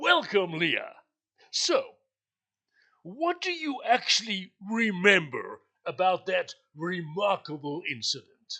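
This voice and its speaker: This put-on character voice sits at a fairly high pitch and moves at a fairly slow pace with long, frequent pauses. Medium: audio drama. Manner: theatrical, laughing, sighing.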